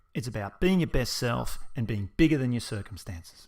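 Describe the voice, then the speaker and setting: A man with an Australian accent talks at a fairly quick pace on a very clean recording with a silent background. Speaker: personal trainer and event co-founder. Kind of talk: narrated promotional video. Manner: casual, humorous.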